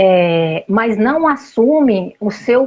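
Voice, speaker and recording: A woman's fairly high, somewhat breathy voice. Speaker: family systemic therapist. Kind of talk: interview.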